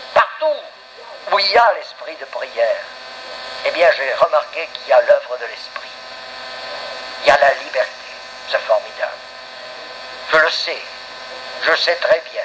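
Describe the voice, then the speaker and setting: With long, frequent pauses, a man speaks at a fairly slow pace amid noticeable background noise. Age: 70s. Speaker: pastor. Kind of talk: sermon.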